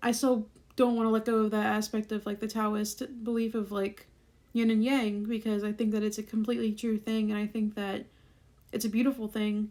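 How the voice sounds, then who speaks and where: A woman speaks at a fairly quick pace, her fairly high voice dark and mellow in tone, with monotone, flat intonation. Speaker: musician and video creator. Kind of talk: casual vlog talk. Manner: fast; many fillers, likes and ums.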